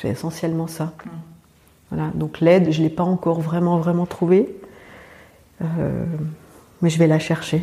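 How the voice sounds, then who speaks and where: Slowly and with long, frequent pauses, a woman speaks in a fairly low, monotone, flat voice. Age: 40s. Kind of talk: interview testimony. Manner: halting, with frequent hesitations.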